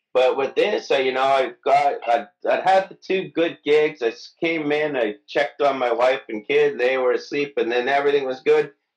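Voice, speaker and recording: Here is a man with a normal speaking voice and a fairly high pitch. He talks at a moderate pace with ordinary pitch variation. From Canada, Mississauga. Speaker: comedian. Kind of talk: casual chat. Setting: video call.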